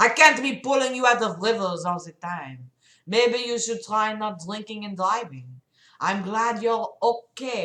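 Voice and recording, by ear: In a quiet setting, someone reads aloud in a natural voice, the pitch shifting in an ordinary way.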